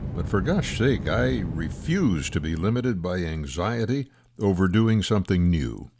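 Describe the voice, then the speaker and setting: In a very clean recording with a silent background, a man with a very deep, low pitch and vocal fry speaks at a moderate pace, his pitch swinging very widely. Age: 90s. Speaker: retired RV traveler and vlogger. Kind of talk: personal scripted narration.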